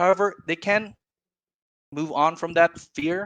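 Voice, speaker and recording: At a moderate pace, the words come out with a non-native accent. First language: not English. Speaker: viewer debating the host. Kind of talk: casual debate. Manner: halting.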